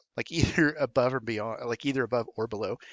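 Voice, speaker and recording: At a fairly quick pace, a man is talking. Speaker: high school engineering teacher. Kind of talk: recorded explainer video for students and parents. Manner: fast; casual, with frequent fillers.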